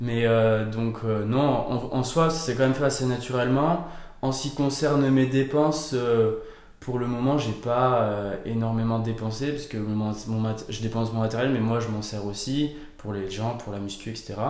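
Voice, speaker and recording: This man has a medium-pitched voice and speaks at a fairly slow pace with fairly even intonation. Audible room echo and noticeable background noise fill the recording. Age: 20s. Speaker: fitness coach. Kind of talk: interview. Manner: hesitant, many fillers.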